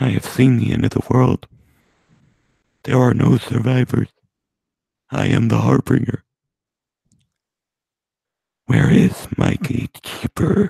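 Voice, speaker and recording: A put-on, robotic character voice from a man, medium in pitch with ordinary pitch variation, at a fairly slow pace broken by long, frequent pauses. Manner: ominous, grave.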